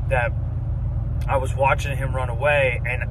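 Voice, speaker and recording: A man talks at a moderate pace. The sound is dry with no echo, but there is noticeable background noise. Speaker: hunting vlogger. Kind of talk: casual vlog chat. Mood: reflective, grateful. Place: car. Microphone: phone near.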